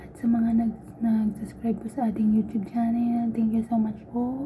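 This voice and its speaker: Over noticeable background noise, a soft-spoken woman talks at a fairly slow pace in a fairly high pitch, her intonation monotone and flat while her loudness swings widely. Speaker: vlogger, overseas domestic worker. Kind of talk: casual vlog talk. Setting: laundry room. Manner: soft-spoken, quiet.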